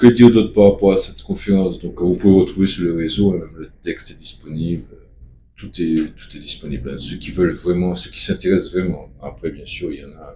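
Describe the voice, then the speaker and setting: The speaker has a Martinican accent and talks at a fairly quick pace. Loudness rises and falls in big swings. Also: man. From Martinique. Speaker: activist spokesperson. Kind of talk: casual video monologue.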